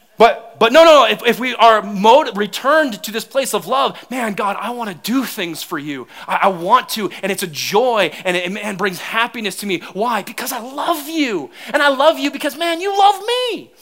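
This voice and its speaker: An extremely high male voice at a moderate pace, with very wide pitch swings, big swings in loudness, and noticeable background noise. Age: 30s. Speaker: pastor. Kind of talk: sermon. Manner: animated.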